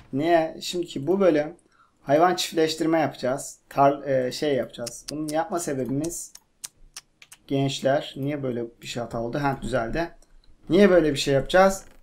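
An animated man speaks at a moderate pace and a fairly high pitch, with ordinary pitch variation. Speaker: gaming youtuber. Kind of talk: casual gameplay chat. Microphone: cheap microphone, buzzing noise.

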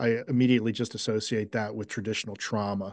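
A man's normal speaking voice with an American accent, medium in pitch, at a fairly quick pace with fairly even intonation, against a quiet background. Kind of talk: group discussion. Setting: video call.

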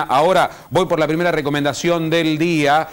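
The speaker is a man whose pitch sits fairly high. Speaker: TV host. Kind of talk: TV talk show. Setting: TV studio. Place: studio. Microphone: lapel.

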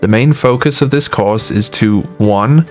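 Over music in the background, a man's voice moves in very wide pitch swings. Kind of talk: corporate narration, educational course overview. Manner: clear, measured, instructional.

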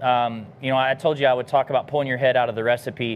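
Light background noise runs under the speech. A man talks at a fairly quick pace. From US South. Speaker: barbecue cook and business founder; pitmaster host. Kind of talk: cooking demonstration livestream. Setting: outdoor kitchen. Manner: casual, many filler words. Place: garden.

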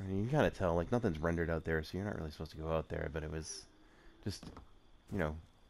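A man speaks at a very fast pace with a very deep, low pitch and ordinary pitch variation. Long pauses come frequently. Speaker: gaming video creator. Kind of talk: casual gameplay commentary. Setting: voiceover recorded separately over gameplay. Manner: casual, filler-heavy.

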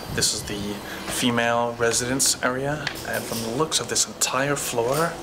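Noticeable background noise runs under the recording. A man talks at a moderate pace. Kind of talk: casual explorer commentary. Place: empty room. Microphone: phone near.

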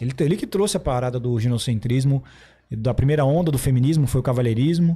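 Speaking at a very fast pace, a man uses ordinary pitch variation in a dark, mellow, somewhat breathy tone. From interior of São Paulo state, Brazil. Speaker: podcast host. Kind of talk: casual chat. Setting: studio. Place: studio. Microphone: studio mic.

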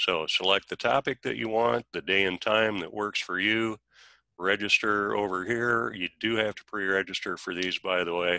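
A fairly low-pitched male voice with a bright, sharp tone and ordinary pitch variation, dry with no echo against a quiet background. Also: moderate pace. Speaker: training center manager. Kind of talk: webinar introduction. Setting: video call. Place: garage. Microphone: video call.

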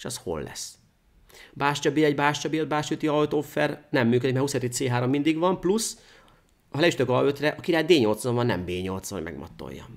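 Over a quiet background, a man with a fairly high pitch and vocal fry talks at a fairly slow pace, using lively intonation and big swings in loudness. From Hungary. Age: 30s. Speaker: chess grandmaster; guest. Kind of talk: chess game analysis interview. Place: studio.

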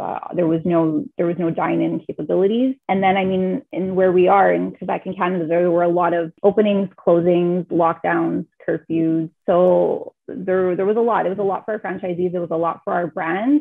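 Vocal fry runs through a woman's fairly low voice. Her intonation stays fairly even. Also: moderate pace, few pauses.

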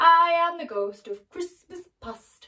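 In a put-on character voice with extremely high pitch, the speaker talks at a fairly slow pace.

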